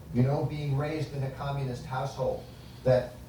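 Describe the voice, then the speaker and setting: A man speaks with an American accent and a fairly high pitch. The room echo is audible, and there is noticeable background noise. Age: 60s. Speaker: author and foundation director. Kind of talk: public lecture.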